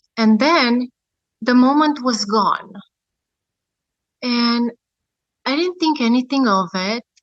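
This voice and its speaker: Speaking very slowly with long, frequent pauses, a woman with a high voice and a Romanian accent shows ordinary pitch variation. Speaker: near-death experiencer. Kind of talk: testimony. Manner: hesitant, many fillers.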